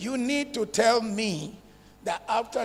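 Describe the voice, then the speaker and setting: A man's high-pitched voice at a very slow pace, against noticeable background noise. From northern Nigeria (Zaria, Kaduna). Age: 70s. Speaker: real estate developer. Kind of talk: conference talk.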